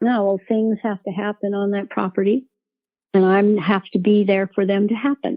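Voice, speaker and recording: Here a woman talks in an ordinary speaking voice at medium pitch. Her pace is moderate and her intonation fairly even. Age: 60s. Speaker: widow of a public activist leading a group call. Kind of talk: group call discussion.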